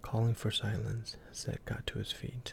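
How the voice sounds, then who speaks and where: Soft-spoken, a man talks at a fairly slow pace. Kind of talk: ASMR story reading.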